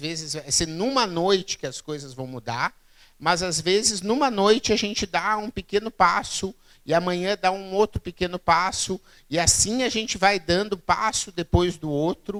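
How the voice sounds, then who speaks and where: Over a dry, close sound with no echo, a high-pitched man speaks with a Rio Grande do Sul accent at a moderate pace, his intonation lively. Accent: Rio Grande do Sul (gaúcho). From southern Brazil, Rio Grande do Sul (Santa Maria). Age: 40s. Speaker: keynote speaker on innovation. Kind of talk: public lecture. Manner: halting, frequent fillers and repeats.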